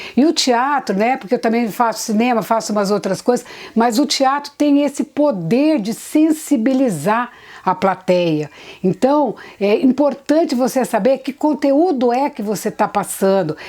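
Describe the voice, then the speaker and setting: Her pitch high and her tone dark and mellow, a woman speaks at a fairly slow pace with lively intonation. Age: 60s. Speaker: theatre actress. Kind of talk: interview.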